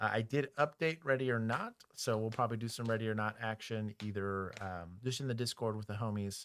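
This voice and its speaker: A man with a Texas accent talks at a fairly quick pace in a fairly low pitch, with ordinary pitch variation. The recording is very clean, with a silent background. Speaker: former police officer and streamer. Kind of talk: casual livestream chat.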